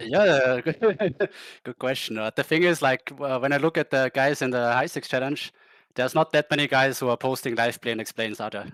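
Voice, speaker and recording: A man with a German accent, medium pitch, ordinary pitch variation and a fairly quick pace, in a very clean, dry, close recording with a silent background and no echo. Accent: German-speaking. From Austria. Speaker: poker player. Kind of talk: casual interview. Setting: live stream.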